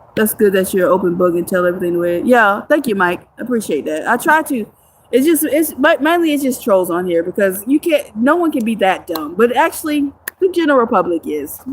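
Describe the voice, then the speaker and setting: A woman's fairly high voice swings very widely in pitch. Noticeable background noise runs under her speech. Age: 30s. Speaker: homeless livestreamer. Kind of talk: livestream chat with viewers. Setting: outdoors in the woods.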